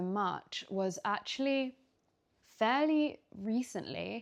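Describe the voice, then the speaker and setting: Over a quiet background, a woman with a London accent speaks with ordinary pitch variation. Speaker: lifestyle vlogger. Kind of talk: casual Q&A vlog. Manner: casual, hesitant with fillers.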